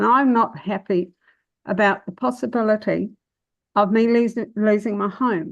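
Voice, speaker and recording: Over a quiet background, a woman with a New Zealand accent speaks at a moderate pace in a fairly high pitch. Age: 70s. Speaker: public submitter at council meeting. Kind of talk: answering questions; public submission.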